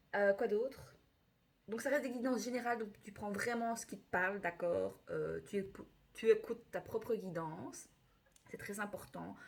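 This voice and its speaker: A woman with a fairly high pitch and ordinary pitch variation shows big swings in loudness. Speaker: tarot reader. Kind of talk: astrology reading. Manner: fast; animated.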